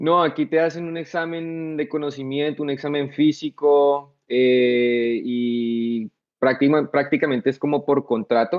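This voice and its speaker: At a very slow pace, a man speaks with a fairly high voice and ordinary pitch variation against a quiet background. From Colombia, Bogotá. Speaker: soldier, war veteran; podcast guest. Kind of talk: casual interview. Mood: relaxed, storytelling. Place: home room. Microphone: video call.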